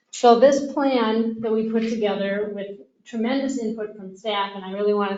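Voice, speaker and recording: A woman speaks at a moderate pace and a medium pitch, her intonation fairly even. Audible room echo surrounds her voice. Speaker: financial consultant. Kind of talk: presentation. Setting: council meeting.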